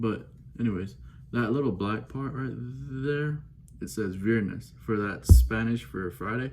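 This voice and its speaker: Speaking fairly slowly in a Belizean accent, a man with a fairly low voice is heard over background music and audible room echo. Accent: Belizean accent, noticeable. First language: Belizean Creole. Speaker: watch enthusiast unboxing. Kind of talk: casual unboxing vlog. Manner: casual, chatty, off-the-cuff.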